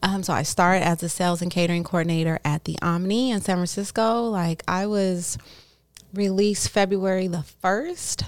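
A woman has a plain, everyday voice and a medium pitch. She speaks at a moderate pace with an American accent. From Oakland, California. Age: 30s. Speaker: cannabis entrepreneur. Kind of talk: interview.

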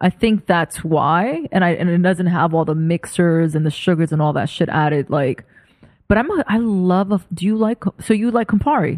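Recorded dry and close with no echo, a woman with a New York accent talks at a moderate pace in a fairly low voice, with lively intonation and very even loudness. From New York, Brooklyn. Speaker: creative director. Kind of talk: casual chat. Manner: animated.

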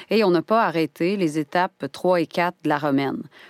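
Recorded very cleanly against a silent background, with a dry, close sound and no echo, a woman with a Quebec accent speaks at a medium pitch with lively intonation. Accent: Québécois French. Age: 30s. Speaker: actress and podcast narrator. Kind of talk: scripted narration. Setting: studio.

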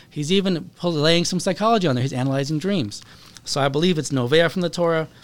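Very fast and with ordinary pitch variation, a male voice comes through over noticeable background noise. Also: fairly high pitch for a man. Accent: American. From US Pacific Northwest, Seattle. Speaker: rabbi and therapist. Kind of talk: podcast interview.

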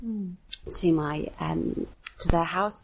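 A woman with a southern English accent speaks at a fairly low pitch. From England, Devon (Torquay). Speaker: mother working in fashion e-commerce. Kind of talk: testimony.

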